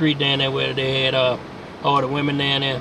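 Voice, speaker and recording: With an American accent, a man speaks fairly quickly at a medium pitch in a dry sound with no echo, with light background noise. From Virginia. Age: 70s. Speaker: local elder recalling history. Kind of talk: oral history interview. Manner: halting, many repetitions and fillers. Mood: relaxed, reminiscing. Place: car. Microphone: phone near.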